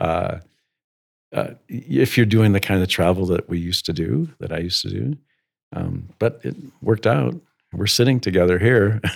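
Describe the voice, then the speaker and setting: A man with an American accent talks at a fairly low pitch with vocal fry and very wide pitch swings. He keeps a moderate pace, broken by long, frequent pauses. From US Midwest. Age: 70s. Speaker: school headmaster. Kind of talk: casual interview conversation.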